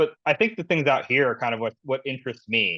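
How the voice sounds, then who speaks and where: A man at medium pitch talking at a fairly quick pace. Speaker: scooter-share company policy manager. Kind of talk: presentation. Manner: fast.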